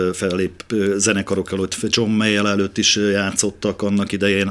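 This man has an unremarkable speaking voice at a fairly low pitch. His intonation stays fairly even. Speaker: bass guitarist and festival organizer. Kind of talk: radio interview.

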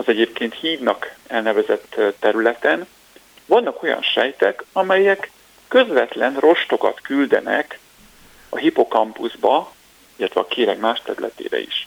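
Speaking fairly slowly, the man leaves long, frequent pauses. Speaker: neuroscientist, research group leader. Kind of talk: radio interview, explaining science. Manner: hesitant with fillers.

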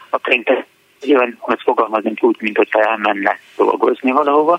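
A man talks at a fairly quick pace. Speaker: library director. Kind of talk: radio interview. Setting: phone call.

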